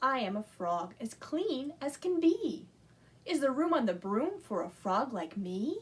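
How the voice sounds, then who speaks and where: A woman's croaky, put-on character voice, high-pitched, with very wide pitch swings. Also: fairly slow pace. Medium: read story.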